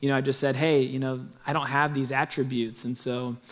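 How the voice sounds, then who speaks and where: The delivery moves at a fairly quick pace. Intonation stays monotone and flat. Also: man. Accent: Midwestern American. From Kansas City area (Olathe, Kansas). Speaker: church planting pastor. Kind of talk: testimony.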